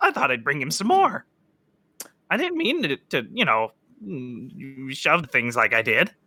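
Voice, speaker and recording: Using a put-on character voice at a low-to-middle pitch, the speaker keeps a moderate pace broken by long, frequent pauses. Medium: actual play. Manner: stammering, nervous.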